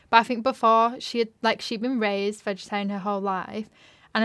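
In a very clean recording with a silent background, a woman with a Yorkshire accent speaks at a medium pitch, monotone and flat. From West Yorkshire. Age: 20s. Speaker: journalism student and podcast co-host. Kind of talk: casual chat.

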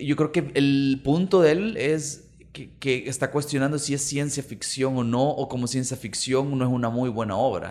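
A man with a Salvadoran accent speaks at a fairly slow pace, using a fairly high pitch and ordinary pitch variation. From El Salvador, Santa Tecla. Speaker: podcast co-host. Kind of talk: casual chat. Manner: halting.

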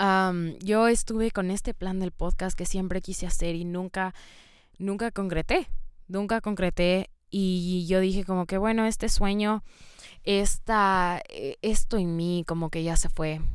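A woman talks somewhat slowly, her intonation staying fairly flat. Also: medium pitch for a woman. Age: 20s. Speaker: podcast host. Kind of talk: solo monologue podcast. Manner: hesitant, filler-heavy.

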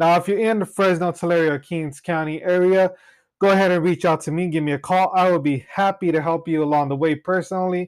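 A high-pitched man with an American accent at a moderate pace, fairly even intonation, and a very clean recording with a silent background. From Central Valley, California (Cutler). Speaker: realtor and insurance agent podcast host. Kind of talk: solo podcast monologue.

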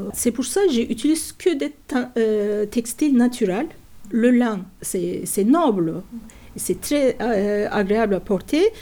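Using lively intonation at a very slow pace, a woman with a Turkish accent speaks in a fairly high voice with a dark, mellow tone. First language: Turkish (speaking French). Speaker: natural dyer and workshop teacher. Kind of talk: interview. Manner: halting.

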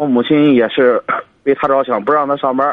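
A man talking at a fairly quick pace. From Jinan, Shandong. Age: 20s. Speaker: caller. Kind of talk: personal family problem account. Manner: halting.

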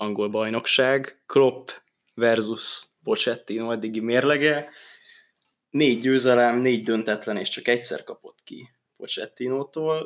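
An unremarkable speaking voice from a man at medium pitch, fairly slow, with fairly even intonation and big swings in loudness. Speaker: football podcast host. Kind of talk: casual chat.

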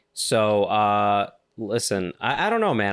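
This man talks at a fairly low pitch on a very clean recording with a silent background. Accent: New York. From New York. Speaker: comedian, podcast co-host. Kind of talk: casual chat. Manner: animated.

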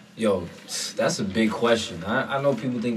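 With an American accent, a man talks at a fairly quick pace amid noticeable background noise and audible room echo. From South Florida. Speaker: rapper. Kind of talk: casual interview. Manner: animated.

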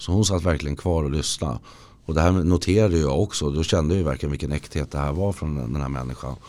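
Very deep and low, a man's voice with a dark, mellow tone rushes along at a very fast pace. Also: ordinary pitch variation. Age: 40s. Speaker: recovering addict. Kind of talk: personal testimony. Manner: halting, with many false starts.

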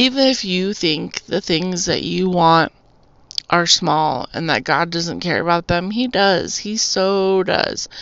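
A woman with an American accent and an unremarkable speaking voice, fairly low-pitched with ordinary variation, at a fairly slow pace. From Arizona, US (Tucson). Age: 40s. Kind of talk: testimony. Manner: casual, rambling with fillers.

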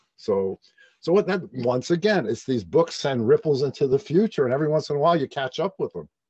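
With an American accent, a man talks at a fairly quick pace and a fairly high pitch. His intonation is lively and his voice somewhat breathy. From Brooklyn, New York. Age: 70s. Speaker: author and astrologer. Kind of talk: casual interview about books.

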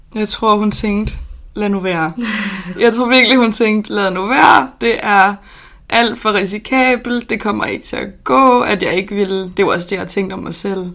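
Speaking at a fairly slow pace, a woman has a plain, everyday voice with a medium pitch and ordinary pitch variation. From Denmark, Odense (Funen). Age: 20s. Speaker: artist and entrepreneur. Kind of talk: casual interview. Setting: small apartment.

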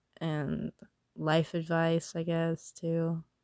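The sound is dry and close, with no echo. The background stays quiet. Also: woman. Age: 20s. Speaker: podcast host. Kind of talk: casual monologue. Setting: in bed under a blanket at night. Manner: rambling, hesitant with fillers.

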